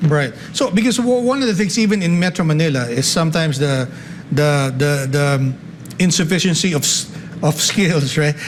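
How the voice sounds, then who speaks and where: Against noticeable background noise, a man with a fairly high pitch talks at a moderate pace, using lively intonation and very even loudness. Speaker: talk show host. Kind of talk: interview.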